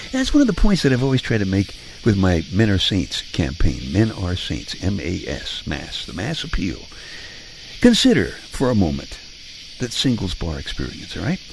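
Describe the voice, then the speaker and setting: With an American accent, a man speaks at a moderate pace in a fairly low voice that makes very wide pitch swings, over noticeable background noise. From Brooklyn, New York. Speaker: radio host. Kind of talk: bedtime monologue. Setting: home living room.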